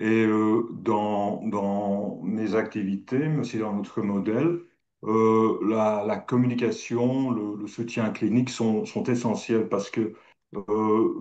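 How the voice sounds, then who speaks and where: A man speaks at a medium pitch and a very slow pace. His intonation stays fairly even. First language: not French (speaking French). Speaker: pharmacist and medical director. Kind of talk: panel self-introduction. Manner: searching for words.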